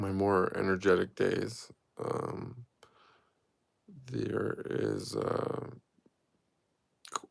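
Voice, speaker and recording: A man speaking at a very slow pace, with long, frequent pauses. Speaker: spiritual teacher streamer. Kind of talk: live stream Q&A. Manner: halting, many fillers.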